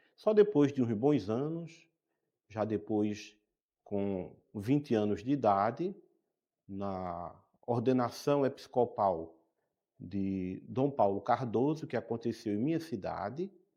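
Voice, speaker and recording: A man with a medium-pitched, dark and mellow voice speaks very slowly with lively intonation and long, frequent pauses against a quiet background. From Brazil, Pernambuco (Caruaru). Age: 60s. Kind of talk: interview.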